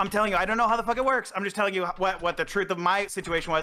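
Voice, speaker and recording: In a raised, projected voice, a man speaks in an animated tone with ordinary pitch variation. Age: 30s. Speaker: former streaming producer. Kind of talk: heated debate.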